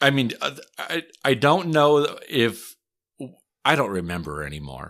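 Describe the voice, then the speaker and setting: A man speaks with a Wisconsin accent and very wide pitch swings. The recording is very clean with a silent background. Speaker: podcast host, historian. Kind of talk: casual chat.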